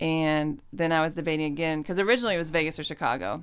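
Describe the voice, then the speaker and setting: A woman with a very deep, low pitch talks very fast with ordinary pitch variation, captured in a very clean recording with a silent background. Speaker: women's football player. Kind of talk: casual chat.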